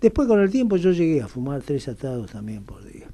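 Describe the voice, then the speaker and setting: A man speaks with a Rioplatense accent. His tone is dark and mellow. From Argentina, Buenos Aires. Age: 70s. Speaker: radio interview guest. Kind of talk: radio interview. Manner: hesitant, with fillers.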